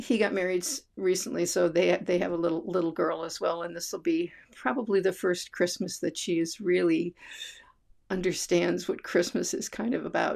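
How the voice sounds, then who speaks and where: An American accent marks this woman's speech. She has vocal fry and ordinary pitch variation. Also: fairly low pitch for a woman, moderate pace. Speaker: vlogger. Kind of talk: casual chat. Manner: halting.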